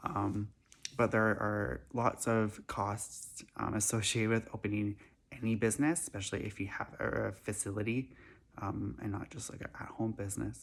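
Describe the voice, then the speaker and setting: The man's voice sits fairly low and shows vocal fry. He keeps a moderate pace with ordinary pitch variation. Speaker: animal rescue founder. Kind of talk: announcement to camera. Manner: halting, many fillers.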